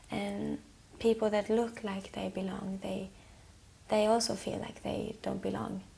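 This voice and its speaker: A soft-spoken woman talks at a fairly slow pace against noticeable background noise. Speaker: singer-songwriter. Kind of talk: interview answer.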